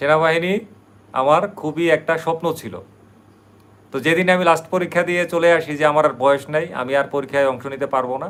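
Fairly high male voice, intonation fairly even. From Bangladesh, Brahmanbaria. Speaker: YouTube vlogger. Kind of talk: live stream monologue. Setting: livestream at night.

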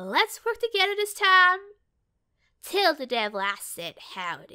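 A woman's put-on character voice with very wide pitch swings. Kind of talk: game character audition lines.

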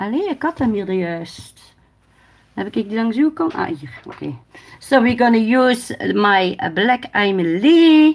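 In a Dutch accent, a woman speaks at a moderate pace with a fairly high pitch and very wide pitch swings. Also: big swings in loudness. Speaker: nail technician livestreamer. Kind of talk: casual livestream tutorial. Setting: live stream. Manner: halting in English, switches languages. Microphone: phone near.

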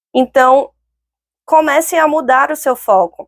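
At a fairly slow pace, a woman speaks in a calm tone against a quiet background. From northern Brazil, Belém (Pará). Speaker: lawyer and career coach, speaker; lawyer, career coach. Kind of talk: online talk. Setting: online event. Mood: calm, encouraging. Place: studio. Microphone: lapel.

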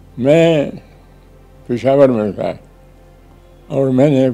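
With faint music in the background, the voice moves through ordinary pitch variation. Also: man. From Pakistan. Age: 80s+. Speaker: retired civil servant and politician. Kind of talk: interview answer. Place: home room. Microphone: lapel.

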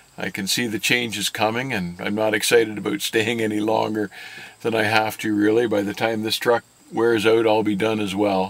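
The dry sound carries no echo as a man talks at a moderate pace in a fairly low pitch with monotone, flat intonation. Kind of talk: interview answer. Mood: calm, candid.

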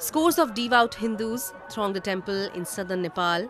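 Over noticeable background noise, a woman talks at a moderate pace with ordinary pitch variation in a dry recording with no echo. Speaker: news anchor. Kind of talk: news reading. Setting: studio. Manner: formal. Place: studio.

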